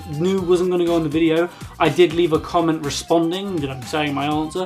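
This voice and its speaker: Music plays in the background. A man with a British accent speaks at a very fast pace. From UK. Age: young. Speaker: YouTuber and gamer. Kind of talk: casual talk to camera.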